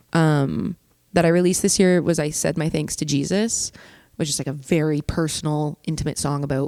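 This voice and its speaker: A woman speaks with a Canadian accent in a very deep, low voice for a woman. Her pace is moderate, and the sound is dry and close with no echo. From Canada, Hamilton, Ontario. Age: 20s. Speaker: singer-songwriter. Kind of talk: casual interview chat. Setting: studio.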